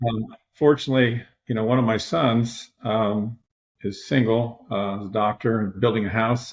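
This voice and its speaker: Monotone and flat, a man with an American accent speaks at a medium pitch. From Michigan. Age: 60s. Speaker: retired high school strength coach. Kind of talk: podcast interview.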